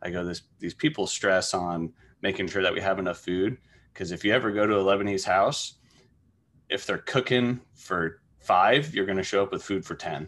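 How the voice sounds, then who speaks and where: On a very clean recording with a silent background, a man with a Midwestern American accent speaks at a fairly low pitch and moderate pace with ordinary pitch variation. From Wichita, Kansas. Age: 30s. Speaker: restaurant manager. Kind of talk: casual chat.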